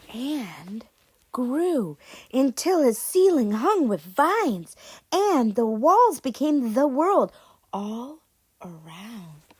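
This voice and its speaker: A woman speaks very slowly in a high pitch with a warm tone. Her pitch swings very widely and her loudness rises and falls sharply. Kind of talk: children's read-aloud storytelling. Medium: read story. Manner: warm, expressive, encouraging.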